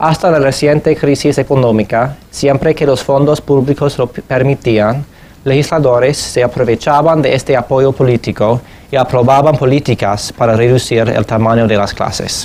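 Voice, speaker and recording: A medium-pitched man with an English accent. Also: moderate pace. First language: English (speaking Spanish). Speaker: education policy researcher. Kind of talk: lecture. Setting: conference presentation in Madrid.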